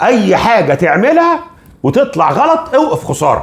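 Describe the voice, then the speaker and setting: The pitch of this man's voice swings very widely. His tone is animated. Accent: Cairo. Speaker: finance educator. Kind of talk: educational talk.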